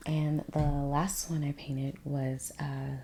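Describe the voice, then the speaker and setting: A soft-spoken woman talks at a very slow pace. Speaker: painter, ASMR creator. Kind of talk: ASMR soft-spoken rambling while painting.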